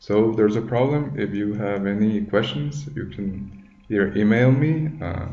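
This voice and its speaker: In a room with audible echo, a man speaks at a moderate pace with a fairly low pitch, a dark, mellow tone and ordinary pitch variation. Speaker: tutorial maker, accounting student. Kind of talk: tutorial. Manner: halting, many fillers.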